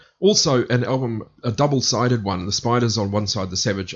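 A somewhat breathy man talks at a fairly quick pace and medium pitch, with ordinary pitch variation. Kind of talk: radio DJ patter: back-announcing a music set with track and band trivia. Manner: brisk, upbeat, matter-of-fact rundown of bands and tracks.

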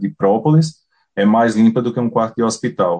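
Over a quiet background, a man in a northeastern Brazilian accent speaks with a medium pitch and a dark, mellow tone. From Paraíba, Brazilian Northeast. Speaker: beekeeper. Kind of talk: casual interview.

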